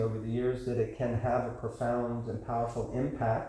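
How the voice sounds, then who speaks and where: A medium-pitched man with an American accent at a moderate pace, with audible room echo. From United States. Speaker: class teacher. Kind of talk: lecture with Q&A. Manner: animated.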